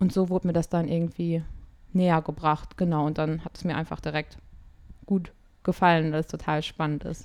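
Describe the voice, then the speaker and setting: At a moderate pace, a woman speaks with long, frequent pauses. Her fairly low voice stays monotone and flat. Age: 20s. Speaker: singer and music therapist. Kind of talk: casual interview. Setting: online call.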